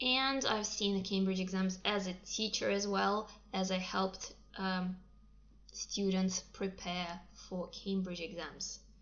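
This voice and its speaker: In a Russian accent, a woman speaks very slowly at a medium pitch with fairly even intonation. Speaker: English teacher. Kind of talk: livestream talk. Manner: hesitant, many fillers.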